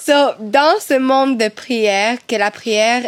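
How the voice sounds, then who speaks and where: A woman's voice with ordinary pitch variation. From Cuba. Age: 20s. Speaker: medium and singer. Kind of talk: casual chat.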